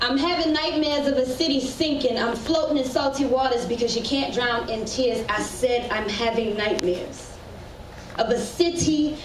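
Speaking at a moderate pace with an American accent, a woman uses a high pitch and ordinary pitch variation, with audible room echo and light background noise. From US South, New Orleans; Louisiana. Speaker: spoken word poet. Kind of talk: spoken word performance. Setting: stage with audience. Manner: animated. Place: stage.

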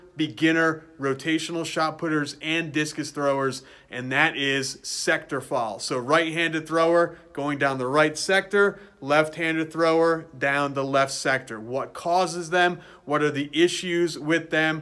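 A man speaks with a bright, sharp tone. His intonation stays fairly even. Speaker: throwing coach. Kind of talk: casual vlog chat. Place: gym.

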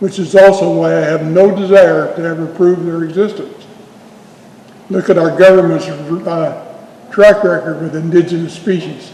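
Over noticeable background noise and audible room echo, a man with a high pitch talks at a moderate pace in a monotone, flat intonation. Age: 80s+. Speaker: Bigfoot researcher and speaker. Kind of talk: town hall Q&A.

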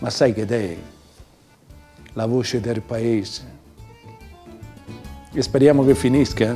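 A man in a Roman accent speaks at a very slow pace with ordinary pitch variation and long, frequent pauses over faint music in the background. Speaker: poet. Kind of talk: poetry reading. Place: home room.

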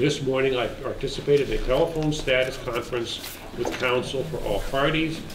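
Over noticeable background noise, a man moves along at a fairly quick pace with fairly even intonation. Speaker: planning board chair. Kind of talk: public meeting. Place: hall.

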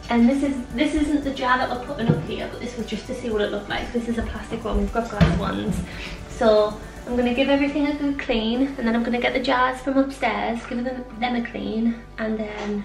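Moderate pace and ordinary pitch variation, with clear music in the background. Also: woman. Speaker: home renovation vlogger. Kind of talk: casual vlog chat. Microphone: phone near.

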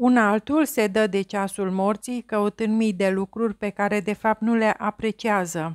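With hardly any pauses, a woman with an unremarkable speaking voice talks at a fairly slow pace, her pitch fairly high and her intonation fairly even, in a very clean recording with a silent background. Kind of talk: audiobook reading aloud of literary prose. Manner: slow, measured, contemplative literary delivery; formal, even, introspective tone.

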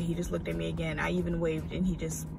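Over clear background music, a woman talks at a fairly quick pace in a dry sound with no echo. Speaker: vlogger. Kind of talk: casual vlog chat. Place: car. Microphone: phone near.

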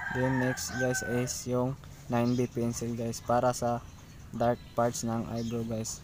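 The speech moves at a very slow pace. Noticeable background noise sits behind it. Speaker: drawing tutorial youtuber. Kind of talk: tutorial. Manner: halting, stumbles over words.

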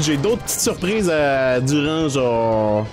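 Clear music plays in the background as the speech unfolds at a very slow pace. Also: man. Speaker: gaming streamer. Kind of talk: casual let's play commentary. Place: home room.

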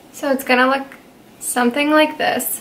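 A woman speaks in a relaxed yet bright, sharp tone with fairly even intonation. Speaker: beauty content creator. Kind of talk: casual talk to camera. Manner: casual, relaxed, hesitant. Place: home room. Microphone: camera far.

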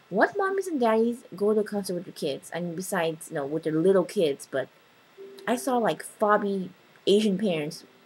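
With an American accent, a woman speaks at a medium pitch and a fairly quick pace, her tone animated and her intonation lively, over noticeable background noise. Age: 20s. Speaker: vlogger. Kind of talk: casual chat. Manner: animated, excitable.

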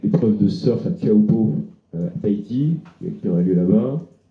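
Audible room echo surrounds a man with a fairly low pitch who talks at a moderate pace with very wide pitch swings. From northern France, Dunkirk; France. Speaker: travel writer; guest. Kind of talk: literary talk before an audience. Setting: restaurant with live audience. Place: home room. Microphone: handheld.

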